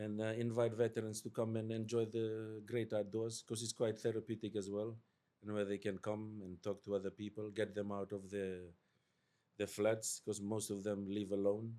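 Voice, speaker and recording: This man speaks at a moderate pace in a fairly low pitch, his intonation monotone and flat. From Fiji. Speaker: army veteran, veterans support worker. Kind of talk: podcast interview.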